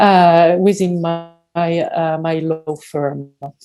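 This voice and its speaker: A woman speaks with a French accent in a very deep, low pitch. Her tone is dark and mellow, with fairly even intonation. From France. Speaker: space lawyer. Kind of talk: conference panel presentation. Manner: hesitant, many fillers.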